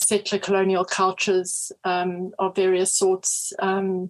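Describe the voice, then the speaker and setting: This is a woman with a South African accent. Her pitch sits in the medium range. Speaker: history professor. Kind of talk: interview.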